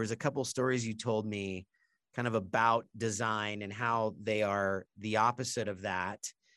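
Moderate-paced speech with ordinary pitch variation, a dry, close sound with no echo, and a very clean recording with a silent background. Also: man. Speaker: insurance podcast host. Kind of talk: casual interview. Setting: studio at company offices. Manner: loud.

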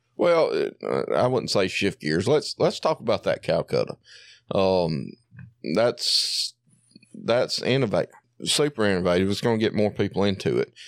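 A man speaks with a Southern US accent at a moderate pace and very even loudness. The recording is very clean with a silent background and a dry, close sound with no echo. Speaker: coon hunter. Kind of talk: casual chat.

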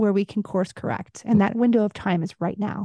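A woman with an American accent speaks at a fairly high pitch in a dark, mellow tone, her intonation fairly even and the sound dry and close with no echo against a quiet background. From US Midwest. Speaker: documentary filmmaker and former actress. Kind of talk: interview.

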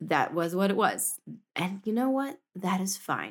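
A woman speaks in an ordinary speaking voice at a medium pitch. Her pace is moderate and her pitch variation ordinary. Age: 30s. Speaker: homesteading podcast host. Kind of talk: casual monologue.

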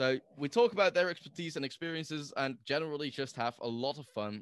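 A man speaks with a Dutch accent, fairly high in pitch and at a fairly quick pace, with ordinary pitch variation. The sound is dry and close with no echo, over a quiet background. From Netherlands. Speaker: podcaster guest. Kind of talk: casual chat.

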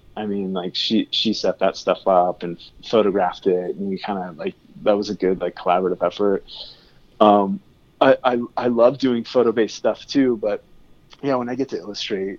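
With a dry, close sound and no echo, a man talks at a fairly low pitch, his loudness swinging widely. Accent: Californian. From California (Tehachapi). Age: 30s. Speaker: album cover artist. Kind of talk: casual chat.

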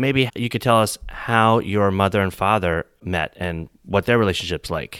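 A man's fairly low-pitched voice, a normal speaking voice, at a moderate pace with ordinary pitch variation, in a very clean recording with a silent background and a dry, close sound with no echo. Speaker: podcast host. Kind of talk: interview.

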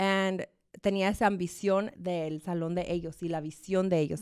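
A woman with an unremarkable speaking voice, a fairly low pitch and fairly even intonation is captured on a very clean recording against a silent background. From Arizona, USA, Mexican family from Chihuahua. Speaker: salon owner and entrepreneur. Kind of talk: interview conversation.

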